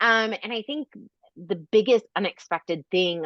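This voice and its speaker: At a fairly slow pace, a woman speaks in a bubbly tone with lively intonation. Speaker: influencer and content creator. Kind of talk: podcast interview. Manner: loud and bubbly; casual, many fillers.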